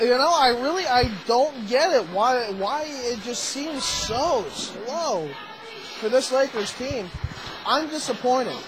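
There is noticeable background noise as a man speaks. His tone is animated and his pitch extremely high. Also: lively intonation. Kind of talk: live hockey play-by-play commentary. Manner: rapid-fire, animated play-by-play, joking with co-commentator.

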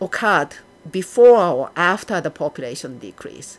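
A woman speaks at a fairly slow pace with a Japanese accent, her fairly low voice making very wide pitch swings. Music plays in the background. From Japan, Yokohama. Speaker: archaeology professor. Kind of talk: interview.

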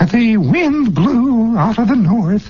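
Over light background noise, a put-on character voice speaks with lively intonation. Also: man, extremely high pitch for a man.

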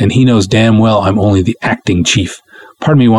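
The speaker is reading aloud. It is plain reading aloud.

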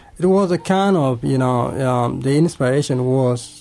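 Here a man is talking. He speaks with a Sudanese accent. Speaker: refugee interviewee. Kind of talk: radio interview. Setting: studio. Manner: halting, hesitant.

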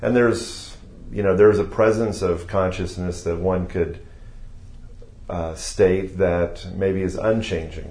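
A man with an American accent speaks at a very deep, low pitch. His intonation is monotone and flat, with audible room echo. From Ohio, US Midwest. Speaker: yoga teacher. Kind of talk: interview.

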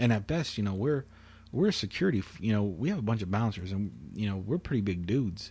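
Over a quiet background, a man talks very fast in a fairly low, dark, mellow, somewhat breathy voice with lively intonation. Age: 20s. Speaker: podcast host. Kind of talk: casual chat. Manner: calm.

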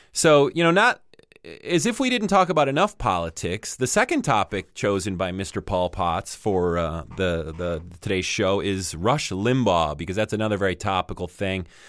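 A man with an unremarkable speaking voice talks at a moderate pace, his fairly low pitch moving with lively intonation. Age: 40s. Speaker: podcast host. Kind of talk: casual chat. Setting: remote call with co-host.

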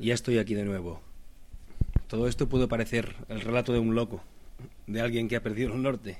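A man's medium-pitched voice at a moderate pace. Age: 30s. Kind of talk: personal reflective monologue.

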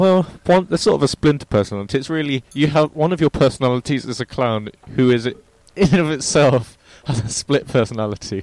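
Fairly quick and lively in intonation, a man speaks with an unremarkable speaking voice at a fairly high pitch. The sound is dry and close, with no echo. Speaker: podcast co-host. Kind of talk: casual chat.

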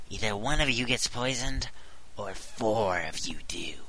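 Whispering in a put-on character voice, a man speaks at a moderate pace over clear background noise. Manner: gloating, menacing.

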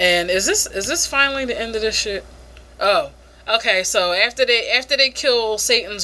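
Someone reads in a way that sounds natural.

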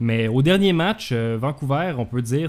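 Very slow in pace, a man speaks at a medium pitch with lively intonation. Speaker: podcast host. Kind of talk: casual talk show hosting. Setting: home office.

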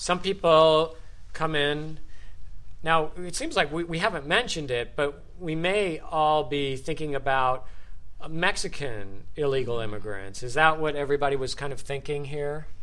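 An American accent marks this man's unremarkable speaking voice, pitched fairly high. He talks at a moderate pace with ordinary pitch variation. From USA. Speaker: podcast host, English teacher. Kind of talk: group discussion moderation for English learners. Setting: studio with group sharing microphones.

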